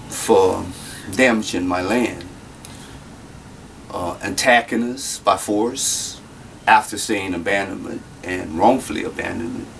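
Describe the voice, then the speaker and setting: A man with a Louisiana accent speaks at a very slow pace and a fairly low pitch. His intonation stays fairly even over noticeable background noise. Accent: Louisiana Southern US. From Louisiana, Lafayette. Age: 40s. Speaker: citizen making a grievance video. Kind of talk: personal testimony. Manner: halting, many fillers.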